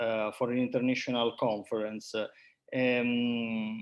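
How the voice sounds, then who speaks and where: Speaking very slowly with an Italian accent, a man keeps to a medium pitch. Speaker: research center coordinator. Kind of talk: conference presentation. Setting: video call. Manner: halting.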